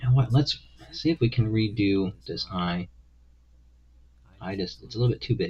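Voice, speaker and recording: Somewhat breathy and fairly low in pitch, a man talks at a moderate pace with lively intonation. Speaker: livestreaming artist. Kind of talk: casual live stream chat. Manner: hesitant, many fillers.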